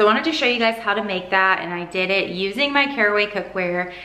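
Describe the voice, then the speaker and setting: A woman speaks with audible room echo. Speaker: vlogger. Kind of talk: casual vlog chat. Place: kitchen.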